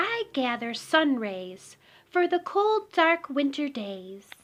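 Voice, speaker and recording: A woman puts on a character voice, very slow and high-pitched, her pitch swinging very widely. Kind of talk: bedtime story. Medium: read story. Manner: gentle, dreamy.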